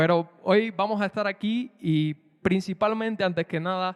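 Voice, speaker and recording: A man speaks in a Cuban accent with fairly even intonation. The sound is dry and close, with no echo. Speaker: preacher. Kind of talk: prayer; sermon.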